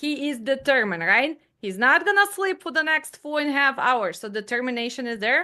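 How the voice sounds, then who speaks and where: Against a quiet background, a woman projects a raised, high, bright and sharp voice with lively intonation. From Ukraine. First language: not English. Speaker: dispatch trainer. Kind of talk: online class.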